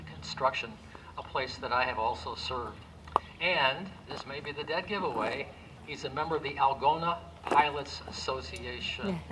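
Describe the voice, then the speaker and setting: A man's fairly high voice moves in very wide pitch swings. Noticeable background noise and audible room echo surround it. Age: 70s. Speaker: pastor. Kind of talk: award presentation speech. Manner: halting.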